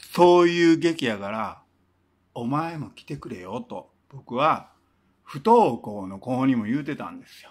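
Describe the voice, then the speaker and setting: A man with a Kansai accent, at a fairly slow pace. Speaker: singer-songwriter and former teacher; former teacher. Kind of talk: casual storytelling monologue. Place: home room. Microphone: phone near.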